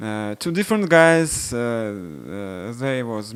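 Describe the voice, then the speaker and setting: With a Russian accent, a man talks at a very slow pace. His voice sits at a medium pitch with very wide pitch swings. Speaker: software developer. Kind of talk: product demo. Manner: halting.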